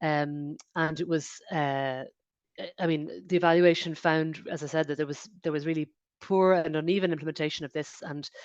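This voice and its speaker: Against a quiet background, a woman speaks fairly quickly in a very deep, low pitch with monotone, flat intonation. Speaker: lawyer speaking at a policy webinar. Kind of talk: webinar presentation. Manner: fast; halting, many fillers and restarts.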